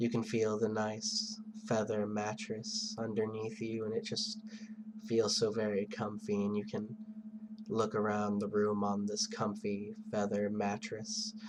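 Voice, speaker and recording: Over music in the background, a man speaks at a fairly slow pace in a soothing tone. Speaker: hypnotist. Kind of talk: hypnosis induction.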